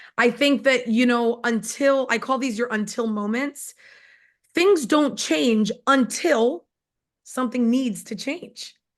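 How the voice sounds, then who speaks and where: A woman speaks very slowly in a New York accent, with a high pitch and ordinary pitch variation. The background is quiet. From New York, Long Island. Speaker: network marketing distributor. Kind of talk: testimony.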